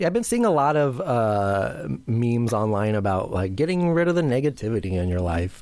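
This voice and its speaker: A man's medium-pitched voice at a moderate pace, with very wide pitch swings, very even loudness, hardly any pauses, and noticeable background noise. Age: 30s. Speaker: podcast co-host. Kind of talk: casual chat. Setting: remote call.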